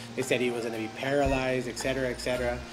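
Clear music sounds in the background. Over it, a man talks at a fairly quick pace. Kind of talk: interview answer. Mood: warm, amused. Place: home room.

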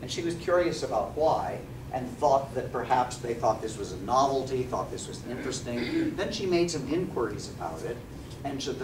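A man talks at a moderate pace while noticeable background noise plays beneath him. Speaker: lecturer. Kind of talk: lecture. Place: classroom. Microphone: camera far.

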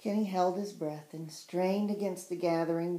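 Intonation is fairly even. The text is read aloud in a natural voice.

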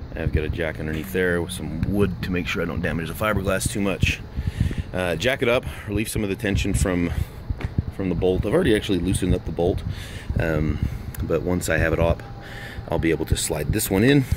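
Over noticeable background noise, a man speaks with a very deep, low pitch and ordinary pitch variation. The sound is dry, with no echo. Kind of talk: casual tutorial commentary. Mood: mildly frustrated, wry. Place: street. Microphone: phone near.

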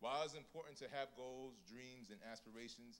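Against light background noise, a man speaks at a moderate pace. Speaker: church program emcee. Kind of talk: casual storytelling then devotional opening. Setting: church. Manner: warm, humorous, animated. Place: church. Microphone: handheld.

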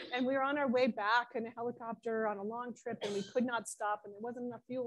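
Against a quiet background, a woman speaks at a fairly high pitch with an American accent. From US Northeast (Ithaca, New York); New York. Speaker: planetary scientist; invited lecturer. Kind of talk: lecture. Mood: enthusiastic storytelling. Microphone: video call.

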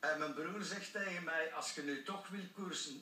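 At a very slow pace, a raised, projected voice rings with audible room echo over light background noise. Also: man. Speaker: former professional cyclist. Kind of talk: TV interview answer. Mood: cheerful, storytelling. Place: studio.

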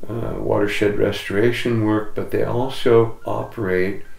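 Audible room echo surrounds a man speaking at a fairly low pitch with fairly even intonation. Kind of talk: interview answer. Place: home room.

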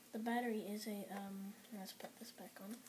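With light background noise, a woman speaks at a moderate pace in a monotone, flat intonation. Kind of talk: casual unboxing commentary. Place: home room. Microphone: camera far.

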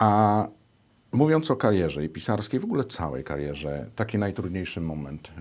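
Very wide pitch swings in a man's fairly low voice, moving at a moderate pace. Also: very clean recording, silent background. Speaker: TV interviewer. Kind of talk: interview conversation. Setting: TV studio.

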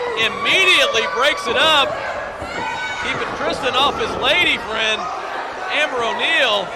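Loud background noise runs under a man's fairly slow speech. He pauses long and often, and the sound is dry with no echo. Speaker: wrestling commentator. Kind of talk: live wrestling play-by-play commentary. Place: hall.

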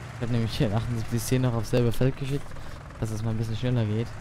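A man talks at a medium pitch. Noticeable background noise and audible room echo fill the recording. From Palatinate, Germany (Leiningerland). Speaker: gaming YouTuber. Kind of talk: let's play commentary. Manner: casual, thinking aloud.

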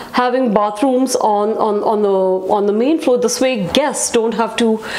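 This woman talks at a fairly slow pace. Her pitch variation is ordinary. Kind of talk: walkthrough tour commentary. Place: home room.

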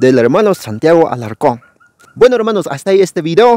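A man at a moderate pace, very wide pitch swings, and a dry sound with no echo. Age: young. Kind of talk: channel outro address; interview with commentary. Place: forest. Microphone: lapel.

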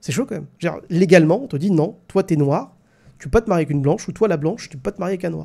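A very fast-talking man with a high pitch and a dark, mellow tone against a quiet background. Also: ordinary pitch variation. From France. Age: 30s. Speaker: live stream host. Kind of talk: live stream discussion with callers. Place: home room. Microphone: studio mic.

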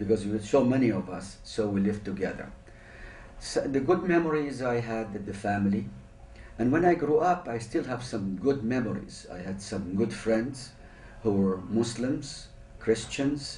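A man's somewhat breathy, dark and mellow voice at a moderate pace, with audible room echo. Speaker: interviewee. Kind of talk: interview answer. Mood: reflective, calm. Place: meeting room.

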